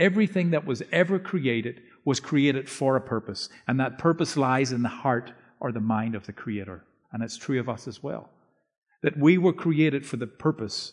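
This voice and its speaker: A man speaks at a medium pitch with lively intonation. The background is quiet. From Northern Ireland. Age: 50s. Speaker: preacher and author. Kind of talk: sermon. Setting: church.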